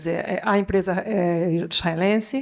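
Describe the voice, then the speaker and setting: The speaker has a Brazilian accent. The recording is very clean with a silent background. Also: woman. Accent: Brazilian Portuguese, somewhat rusty. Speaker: education technology executive, panelist. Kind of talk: conference panel talk. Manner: halting, many filler sounds.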